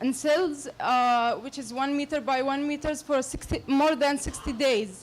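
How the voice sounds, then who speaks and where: A woman talks at a very slow pace with an Arabic accent. Her pitch is high. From Palestine. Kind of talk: audience comment at public forum. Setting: public meeting hall with audience. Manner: halting.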